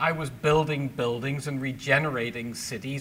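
A man with a Northern Irish accent, fairly high in pitch, at a fairly slow pace with ordinary pitch variation and audible room echo. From Belfast, Northern Ireland. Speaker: public speaker and ministry leader. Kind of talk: testimony. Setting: church men's lunch.

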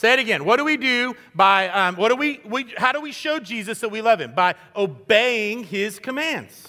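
A man's raised, projected voice, high in pitch and bright and sharp in tone, with lively intonation at a moderate pace and hardly any pauses. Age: 50s. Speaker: guest pastor. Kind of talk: sermon. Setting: church. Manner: animated.

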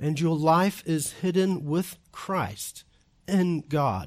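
A man with a New Zealand accent talks at a very slow pace and a fairly high pitch. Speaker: visiting preacher and doctoral student. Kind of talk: sermon. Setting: church.

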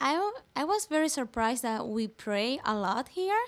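A high-pitched woman with a Spanish accent, very wide pitch swings, and a fairly slow pace. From Venezuela. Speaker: church summer intern. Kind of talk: casual interview chat.

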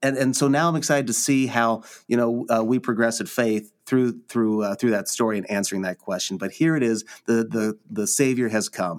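Hardly any pauses interrupt a man speaking at medium pitch. The recording is very clean, with a silent background. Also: ordinary pitch variation, moderate pace. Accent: Midwestern American. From Nebraska, US Midwest. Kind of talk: casual conversation about the Bible.

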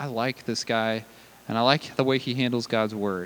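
A man's unremarkable speaking voice at a fairly quick pace, with ordinary pitch variation. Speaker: pastor. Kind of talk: sermon. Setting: church.

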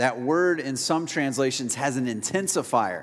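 This man has an unremarkable speaking voice. He talks at a fairly slow pace with lively intonation. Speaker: pastor. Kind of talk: sermon. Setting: church.

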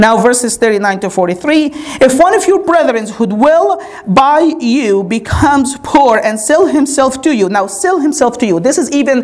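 Against noticeable background noise, a woman speaks at a fairly slow pace in an animated tone with lively intonation. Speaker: preacher. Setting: church. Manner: urgent, earnest pastoral appeal at the close.

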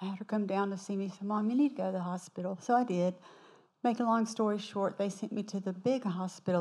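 A woman speaks in a Southern US accent. Her voice sits at a medium pitch with a dark, mellow tone. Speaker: church member. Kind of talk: testimony. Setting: church.

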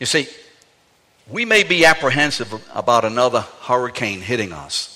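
A man talks in an animated tone at a moderate pace. His pitch is medium. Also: lively intonation. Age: 60s. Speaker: pastor. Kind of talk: sermon. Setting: church. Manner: animated, humorous.

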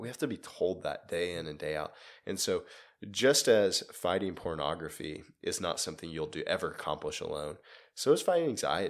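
Over a silent background in a very clean recording, a man talks at a moderate pace. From United States. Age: 20s. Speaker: college pastor. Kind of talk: podcast interview. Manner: repetitive false starts.

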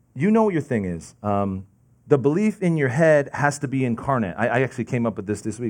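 A man talks at a fairly quick clip with an American accent. His pitch swings very widely. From New Jersey, Lincoln Park. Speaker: lay preacher. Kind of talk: sermon. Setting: church, seated with audience. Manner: fast.

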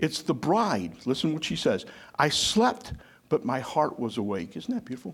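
A man with a fairly high pitch speaks at a moderate pace with vocal fry. His tone is animated, and his pitch makes very wide swings. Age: 60s. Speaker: pastor. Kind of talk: sermon. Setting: church with congregation.

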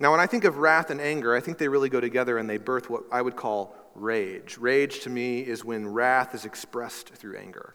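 Here is a man with a medium-pitched, bright, sharp tone and ordinary pitch variation. He talks at a fairly quick pace, with hardly any pauses. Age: 30s. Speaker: pastor. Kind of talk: sermon. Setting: church.

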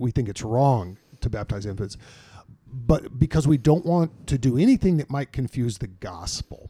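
Dry and close with no echo, a man's somewhat breathy voice has a dark, mellow tone, a medium pitch and lively intonation. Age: 50s. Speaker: senior pastor. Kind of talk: casual chat. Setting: studio.

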